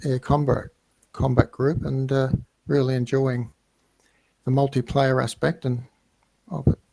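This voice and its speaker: With a slight Australian accent, the voice is somewhat breathy, dark and mellow, monotone and flat, with a dry, close sound and no echo. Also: man. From Australia, Melbourne. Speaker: flight sim gamer, businessman. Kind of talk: casual interview. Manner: halting, hesitant.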